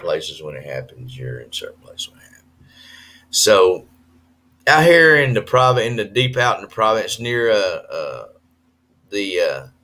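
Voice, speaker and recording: In a very clean recording with a silent background, a man with a Southern US accent speaks with big swings in loudness. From US South. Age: 50s. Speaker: expat vlogger. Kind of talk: live stream chat. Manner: hesitant with fillers.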